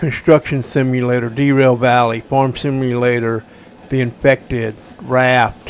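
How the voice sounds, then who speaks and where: Here a man speaks at a fairly slow pace in a monotone, flat intonation. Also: medium pitch for a man. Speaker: gaming streamer. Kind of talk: gameplay commentary.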